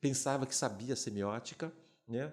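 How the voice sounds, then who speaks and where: A man of medium pitch talks at a moderate pace. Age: 60s. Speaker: retired film and advertising professor. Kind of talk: podcast interview. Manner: halting.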